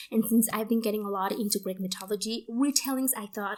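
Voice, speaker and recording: Ordinary pitch variation at a fairly quick pace. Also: woman. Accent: Spanish. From Mexico. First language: Spanish. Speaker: book youtuber. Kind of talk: casual book haul vlog. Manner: casual, many fillers.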